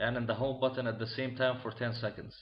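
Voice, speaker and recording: This man has a non-native accent. His pitch sits in the medium range. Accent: foreign accent, self-noted. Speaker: tech tutorial maker. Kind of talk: tutorial. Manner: halting, many fillers.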